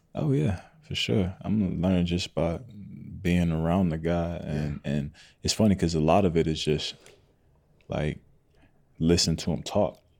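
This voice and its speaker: A man speaks at a moderate pace with a very deep, low pitch and a dark, mellow tone, his intonation fairly even. He pauses long and often, and the recording is very clean with a silent background. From Atlanta area, Georgia (Clayton/Henry County). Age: 20s. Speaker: country singer. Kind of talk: casual interview chat.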